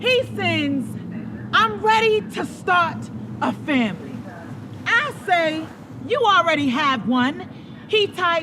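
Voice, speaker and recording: A woman with an American accent speaks at a very slow pace with long, frequent pauses. Noticeable background noise runs underneath. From Tampa, Florida. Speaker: slam poet. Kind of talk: spoken word poetry performance.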